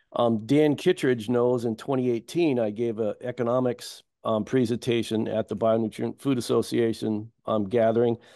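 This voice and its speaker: A man's dark, mellow voice at a moderate pace, with fairly even intonation, hardly any pauses and a quiet background. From US Midwest. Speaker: ecosystem restoration farmer; guest. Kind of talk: panel discussion; interview answer. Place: home room. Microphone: video call.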